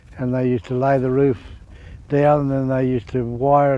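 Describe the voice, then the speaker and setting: A man speaks at medium pitch in a rural Australian accent, at a moderate pace. His intonation is monotone and flat. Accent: broad rural Australian. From Queensland, Australia. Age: 70s. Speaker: retired cattleman and horseman. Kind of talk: oral history storytelling. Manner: halting, repeats words.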